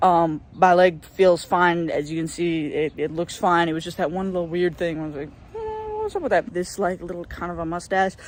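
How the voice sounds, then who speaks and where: This man talks at a fairly quick pace with hardly any pauses, his pitch high for a man. His intonation stays monotone and flat, with noticeable background noise behind him. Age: 20s. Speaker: video blogger documenting gender transition. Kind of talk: video journal. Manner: casual.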